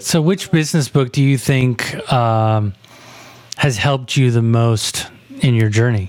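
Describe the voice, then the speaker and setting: A man speaks at a fairly slow pace with a medium pitch, ordinary pitch variation and very even loudness, over noticeable background noise. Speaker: podcast host. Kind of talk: casual interview.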